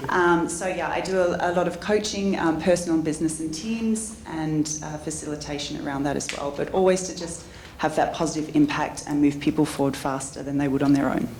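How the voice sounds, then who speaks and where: A woman's very deep, low voice in an Australian accent, at a fairly quick pace with hardly any pauses, ordinary pitch variation, audible room echo and noticeable background noise. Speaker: entrepreneur and business coach. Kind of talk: conference panel talk.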